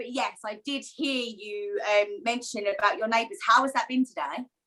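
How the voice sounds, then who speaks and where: A woman with an Essex accent speaks in a raised, projected voice at a high pitch, her tone bright and sharp. She keeps a moderate pace with hardly any pauses. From Essex, England. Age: 20s. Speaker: co-host of a women's wellbeing group. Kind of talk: casual chat. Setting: video call.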